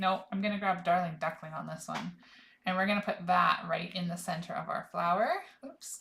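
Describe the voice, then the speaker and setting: Her bright, sharp tone carries vocal fry as this woman speaks at a medium pitch with ordinary pitch variation. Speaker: craft demonstrator. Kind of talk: live craft tutorial. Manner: casual, self-talking.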